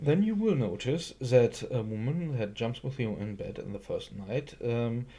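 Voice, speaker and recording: In a dark, mellow, somewhat breathy tone, a man talks at a medium pitch and a moderate pace. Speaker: YouTube commentator. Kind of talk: response video commentary. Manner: halting, many fillers.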